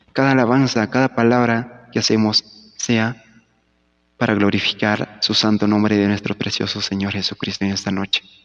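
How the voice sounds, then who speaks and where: At a moderate pace, a man with a fairly low pitch talks in a monotone, flat intonation, with a dry, close sound and no echo. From Peru, Huánuco highlands. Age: 20s. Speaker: church musician. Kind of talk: formal greeting.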